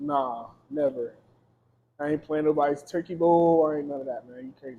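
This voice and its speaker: The speaker has an American accent and talks loudly at a fairly quick pace. The intonation is monotone and flat. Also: man, fairly high pitch for a man. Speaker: recording artist. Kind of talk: casual chat.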